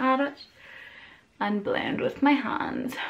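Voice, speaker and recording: Speaking at a very slow pace, a woman talks with a Northern Irish accent. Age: 20s. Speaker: beauty vlogger. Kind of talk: makeup tutorial talk to camera. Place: home room. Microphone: phone near.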